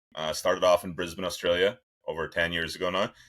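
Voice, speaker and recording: A man's very deep, low voice in an Irish accent, monotone and flat, at a fairly quick pace, in a very clean recording with a silent background. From Ireland. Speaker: sports scientist. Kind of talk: interview. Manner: conversational, with hesitations.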